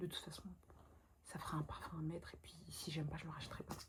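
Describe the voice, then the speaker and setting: A woman is whispering. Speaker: vlogger. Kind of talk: casual talk to camera. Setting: bedroom at night, indoors. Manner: whispered, soft-spoken.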